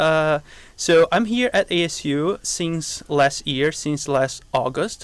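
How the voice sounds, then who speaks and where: In a very clean recording with a silent background, a man with a Brazilian accent speaks at a fairly high pitch with ordinary pitch variation. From southern Brazil. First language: Portuguese. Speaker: biology professor. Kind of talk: interview.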